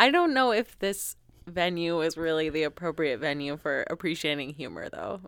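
On a very clean recording with a silent background, a woman with a fairly low pitch speaks in an animated tone at a moderate pace. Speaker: podcast host. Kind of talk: casual chat. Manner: animated, laughing.

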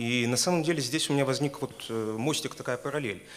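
A man rattles along at a very fast pace, his medium-pitched voice keeping fairly even intonation. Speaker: university lecturer asking question.

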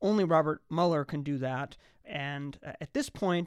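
In a very clean recording with a silent background, a man with a fairly high pitch talks at a moderate pace in a plain, everyday voice. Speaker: law professor. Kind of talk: radio interview. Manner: formal, measured.

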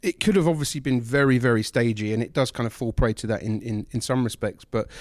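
A man speaks in a London accent with ordinary pitch variation. The sound is dry and close, with no echo. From London, England. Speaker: film critic. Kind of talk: casual chat.

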